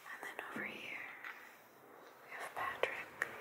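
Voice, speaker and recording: A woman is whispering. Her pace is fairly slow. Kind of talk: ASMR unboxing. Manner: whispered; soft-spoken.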